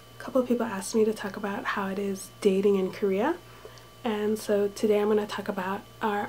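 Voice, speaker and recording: A quiet woman's voice at a medium pitch, against noticeable background noise. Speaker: vlogger living abroad. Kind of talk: casual vlog talk. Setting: indoors in a room with thin walls.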